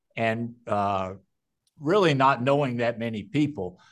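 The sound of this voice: A man speaks at a medium pitch with ordinary pitch variation. His pace is fairly slow.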